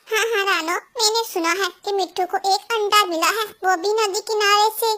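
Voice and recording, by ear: In a cartoonish character voice, a female-sounding voice speaks at a moderate pace with an extremely high pitch for a woman.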